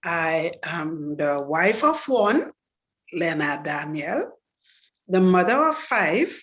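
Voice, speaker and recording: The speaker uses a Trinidadian accent and lively intonation at a very slow pace. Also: woman. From Trinidad and Tobago. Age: 60s. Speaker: testimony speaker. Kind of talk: testimony.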